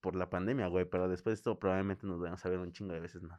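A man's very deep, low voice at a very fast pace. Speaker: podcast co-host. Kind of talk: casual chat. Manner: animated.

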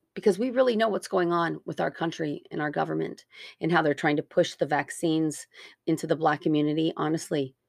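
In a very deep, low voice with vocal fry, a woman talks fairly quickly with ordinary pitch variation, the sound dry and close with no echo against a quiet background. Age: 40s. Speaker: podcast host. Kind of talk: opinion monologue.

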